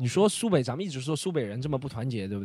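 The speaker is a man with a fairly high pitch and a dark, mellow tone. His pitch swings very widely. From Shanghai. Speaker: comedy podcast co-host. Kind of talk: casual chat.

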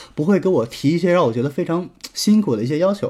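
With a dark, mellow tone and lively intonation, a man speaks at a very fast pace. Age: 20s. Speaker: relationship advice podcaster. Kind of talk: solo advice lecture.

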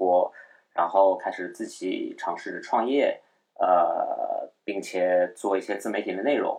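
A man talks at a fairly slow pace. He has a slight Shanghai accent. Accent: slight Shanghainese Mandarin, front nasals. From Shanghai, China. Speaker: podcast host. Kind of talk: casual solo chat. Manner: hesitant, many fillers; slightly lowered, held-down voice.

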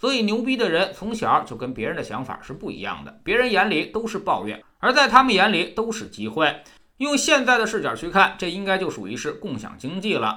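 In a raised, projected voice, a man with a high pitch and a bright, sharp tone talks at a fairly quick pace with very wide pitch swings. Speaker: book review podcast host. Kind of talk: scripted narration.

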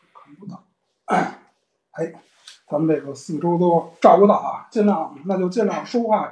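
A man with a high voice speaks at a fairly slow pace, with ordinary pitch variation. Long, frequent pauses break up his speech, and his loudness swings widely. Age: 40s. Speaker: antiques collector and author. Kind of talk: casual chat. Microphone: too quiet for some listeners.

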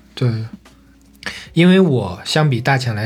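Somewhat breathy, a man speaks at a fairly slow pace. His intonation is lively. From Shandong, China. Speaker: podcast co-host. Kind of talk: casual chat.

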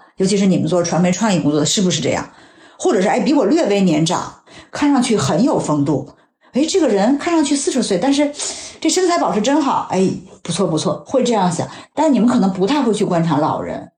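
Against audible room echo, a woman speaks at a fairly quick pace in a dark, mellow, somewhat breathy voice of medium pitch, with very wide pitch swings and very even loudness. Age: 40s. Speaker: health magazine journalist. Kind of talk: casual chat. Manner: reflective.

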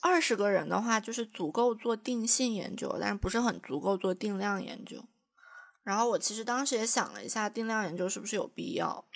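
This woman has a fairly high pitch and some vocal fry. She speaks at a moderate pace with ordinary pitch variation. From China, Jiangxi. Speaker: podcast co-host, graduate student researcher. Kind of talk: casual chat.

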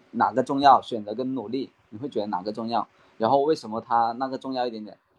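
A man with a slight Cantonese accent speaks with ordinary pitch variation. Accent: slight Cantonese-tinged Mandarin. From Guangdong, Maoming. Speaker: real estate rental worker, trainee. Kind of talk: casual chat practice. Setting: online voice call.

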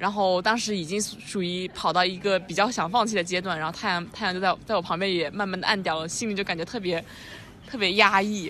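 At a fairly quick pace, a woman speaks in a medium pitch with a bright, sharp tone. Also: fairly even intonation. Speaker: podcast co-host. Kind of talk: casual chat. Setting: outdoor hilltop cafe.

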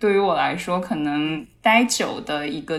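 Over noticeable background noise, a woman speaks at a moderate pace in a very deep, low pitch. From Kunming, China. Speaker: psychology podcast co-host. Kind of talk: casual chat.

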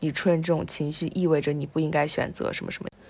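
A woman speaks at a fairly low pitch with vocal fry. The recording is very clean, with a silent background. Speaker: podcast co-host. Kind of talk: casual film discussion.

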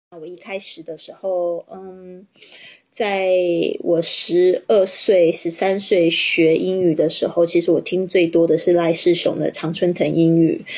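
A woman with a slight non-native accent speaks at a fairly slow pace and a fairly low pitch, her intonation monotone and flat while her loudness swings widely. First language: not English (Chinese) (speaking Chinese). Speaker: English teacher and podcaster. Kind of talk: livestream teaching chat. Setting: livestream.

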